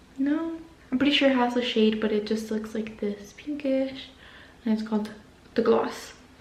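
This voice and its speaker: A woman whispers, soft-spoken. Noticeable background noise and audible room echo surround her voice. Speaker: beauty vlogger. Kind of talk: makeup tutorial. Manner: soft-spoken, sounds like whispering; casual, hesitant.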